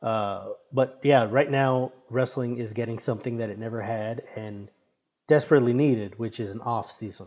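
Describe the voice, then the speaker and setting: Here is a normal speaking voice with an American accent, fairly even intonation, big swings in loudness and a moderate pace. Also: man, medium pitch for a man. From Brownsville, Texas (US-Mexico border). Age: 30s. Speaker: comic book writer and indie wrestler. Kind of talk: casual chat.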